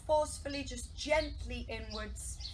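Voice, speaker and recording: A woman is shouting. Light background noise can be heard. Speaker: pilates instructor. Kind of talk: fitness class instruction. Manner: raised voice, near shouting. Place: garden. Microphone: camera far.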